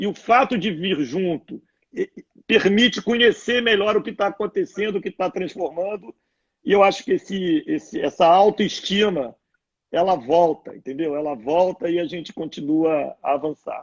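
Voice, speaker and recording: This man's pitch is high. His pace is moderate. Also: lively intonation. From Brazil, Rio de Janeiro. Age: 60s. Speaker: former sports club executive, public figure. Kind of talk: casual chat.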